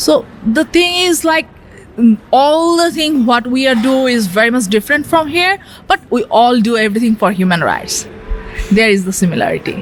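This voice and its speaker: A woman's high voice with a Bangladeshi accent, very wide pitch swings and very even loudness at a moderate pace, music in the background. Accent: Bangladeshi regional accent of English. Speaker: asexual queer artist and activist. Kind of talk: radio interview answer.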